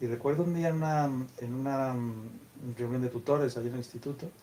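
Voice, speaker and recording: A man talks at a medium pitch and a fairly quick pace. His intonation stays fairly even. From Castile, Spain. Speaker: author, teacher. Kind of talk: book presentation talk. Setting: bookstore event with audience. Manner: hesitant, repeats words.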